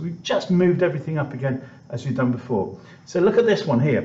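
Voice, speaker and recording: A man speaks at a fairly quick pace with a British accent. Music plays in the background, and audible room echo surrounds him. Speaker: maths teacher. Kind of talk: tutorial.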